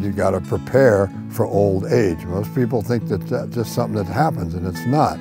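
A man with an American accent at a moderate pace, dry sound with no echo, clear music in the background. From New York. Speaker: triathlete. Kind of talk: interview answer. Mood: humorous, confident. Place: open country. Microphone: lapel.

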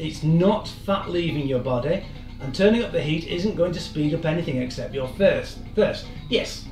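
With clear music in the background and audible room echo, a man speaks at a moderate pace in a high pitch with ordinary pitch variation. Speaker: fitness instructor. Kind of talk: lecture. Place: kitchen. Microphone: camera far.

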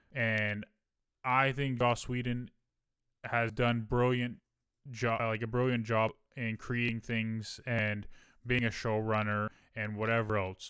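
Very slow, monotone speech with long, frequent pauses, a bright, sharp tone and a flat delivery, dry with no echo over a quiet background. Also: man, medium pitch for a man. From US Midwest. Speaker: podcast co-host, streamer; podcast co-host. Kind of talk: casual chat. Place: home room. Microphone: studio mic.

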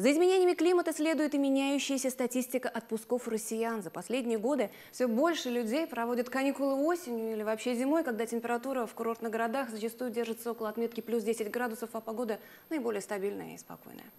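A very fast pace with ordinary pitch variation. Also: woman, fairly high pitch for a woman. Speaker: climatologist. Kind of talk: scripted expert commentary in studio interview. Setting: studio. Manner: calm, explanatory, serious. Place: studio. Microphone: lapel.

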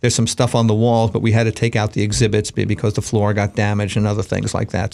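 A man's slightly mellow, fairly low voice with an American accent, ordinary pitch variation and vocal fry.

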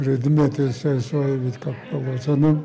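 Light background noise sits under speech delivered at a very slow pace. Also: man. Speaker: war veteran. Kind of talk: testimony. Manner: halting. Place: home room.

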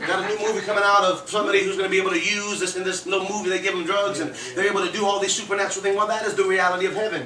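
A raised, projected voice delivers words at a very fast pace with hardly any pauses and a monotone, flat intonation. Noticeable background noise runs underneath. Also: man, high pitch for a man. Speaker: preacher. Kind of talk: sermon. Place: home room.

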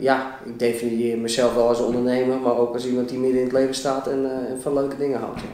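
Fairly quick speech from a man in a room with audible echo. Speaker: interview guest. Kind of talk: interview answer. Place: meeting room. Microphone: camera far.

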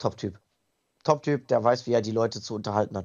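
The man's voice sits at a medium pitch. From Italy. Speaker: wrestling ring announcer. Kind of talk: podcast interview answer.

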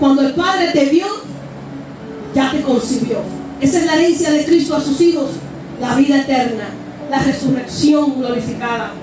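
Pitched high, a woman talks in an animated tone with long, frequent pauses, against noticeable background noise and audible room echo. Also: ordinary pitch variation, moderate pace. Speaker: preacher. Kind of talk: sermon. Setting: church with live congregation, streamed online. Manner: fervent, exhortative pulpit delivery with rhetorical questions; animated, repeating phrases, punctuated by shouts of praise. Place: church.

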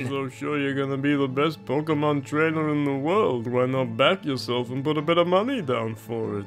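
A man's put-on character voice, medium in pitch and fairly quick, over clear music in the background. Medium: machinima. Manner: smug, coolly menacing.

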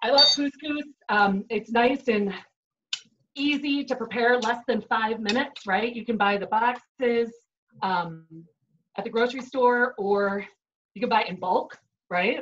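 Speaking fairly slowly with a Chicago accent, a woman has a fairly high pitch and ordinary pitch variation, with light background noise. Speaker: chef giving a cooking demo. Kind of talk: cooking tutorial. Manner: upbeat, conversational. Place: kitchen. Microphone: video call.

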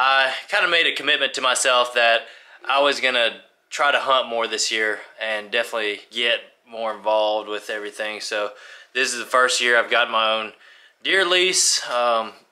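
A man's bright, sharp tone at a moderate pace, with ordinary pitch variation and a quiet background. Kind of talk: casual vlog chat. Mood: relaxed, upbeat. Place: home room. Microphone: phone near.

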